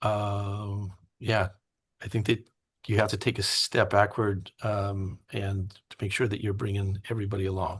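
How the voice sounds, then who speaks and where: Somewhat breathy and fairly low, a man speaks at a moderate pace in a flat monotone against a quiet background. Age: 50s. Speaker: teacher. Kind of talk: interview. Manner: halting.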